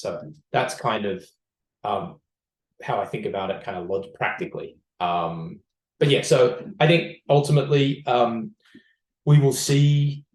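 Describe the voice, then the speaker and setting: The voice has vocal fry and very wide pitch swings, broken up by long, frequent pauses. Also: man. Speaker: startup CEO and co-founder. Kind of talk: podcast interview. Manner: fast; many fillers and restarts.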